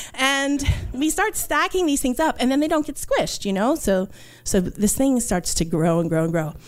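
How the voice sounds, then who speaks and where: Moving at a moderate pace, a woman speaks at a high pitch with very wide pitch swings and very even loudness. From New York, Puerto Rican family. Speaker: archaeologist. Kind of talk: storytelling. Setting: stage with audience.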